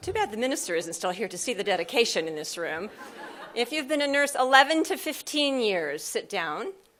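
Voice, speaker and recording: Fairly quick, high-pitched woman's voice in an American accent, with very wide pitch swings. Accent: American, noticeable to Australian audience. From US Midwest, Nebraska. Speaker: psychiatric nurse practitioner and professor. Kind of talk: conference keynote. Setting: stage with audience.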